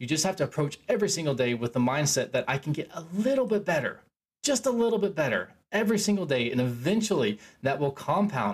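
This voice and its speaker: Here is a man with a high-pitched voice that swings very widely in pitch. He talks at a fairly quick pace. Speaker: self-help podcaster. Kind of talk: solo monologue. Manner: casual, rambling with filler words.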